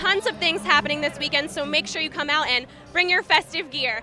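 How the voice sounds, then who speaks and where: Over noticeable background noise, a woman with an American accent speaks fairly quickly in a high, raised, projected voice with lively intonation. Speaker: television news reporter and anchor. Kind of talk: TV news reporting.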